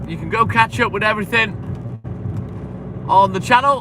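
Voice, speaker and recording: Over noticeable background noise, a man talks with big swings in loudness. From English Midlands. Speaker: milkman livestreamer. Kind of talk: casual livestream chat.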